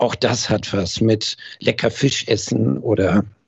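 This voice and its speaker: This man talks at a fairly low pitch. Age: 60s. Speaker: hearing acoustics company founder, former master optician. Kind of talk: casual interview. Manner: frequent hesitation fillers.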